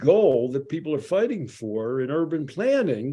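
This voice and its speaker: A man speaks with a Philadelphia accent. His pitch swings very widely, and the recording is very clean with a silent background. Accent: Philadelphia American English. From US Northeast, Philadelphia. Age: 70s. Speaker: addiction psychologist. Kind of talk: podcast commentary. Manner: conversational with frequent fillers.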